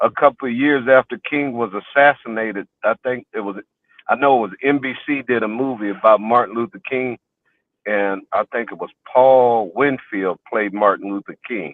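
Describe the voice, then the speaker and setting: A man with an American accent, medium pitch, moderate pace, fairly even intonation and big swings in loudness. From Texas, Houston (Fifth Ward). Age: 60s. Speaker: interview guest, community elder. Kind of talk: life story interview. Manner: halting, many repetitions and fillers.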